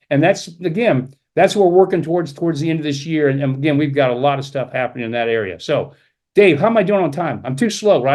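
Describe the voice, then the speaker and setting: A man with a fairly high pitch and lively intonation, going at a very fast pace over a quiet background. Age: 70s. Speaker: company executive presenting a business opportunity. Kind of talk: sales pitch. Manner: animated.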